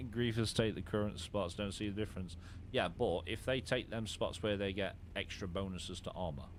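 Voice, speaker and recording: The man speaks with an English accent and a fairly low pitch. His pace is fairly quick and his intonation fairly even. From England. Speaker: gaming streamer. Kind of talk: live stream commentary with co-player. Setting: live stream while gaming. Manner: casual.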